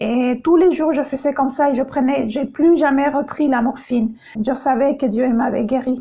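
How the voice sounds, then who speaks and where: Her voice sits high as this woman talks at a moderate pace. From Chile. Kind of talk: testimony. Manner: halting, many hesitations.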